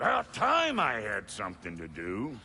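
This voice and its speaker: A man speaks in a put-on character voice at a fairly low pitch. Background noise is clearly audible. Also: moderate pace. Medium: video game. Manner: loud, blunt.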